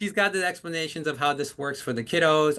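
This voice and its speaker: Talking at a very fast pace over a quiet background, a man uses an animated tone and a fairly high pitch. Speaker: legal aid tax team lead presenting a webinar. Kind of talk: webinar presentation.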